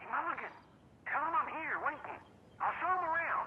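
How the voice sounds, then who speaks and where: A put-on character voice at an extremely high pitch and a fairly quick pace, with clear background noise. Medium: video game.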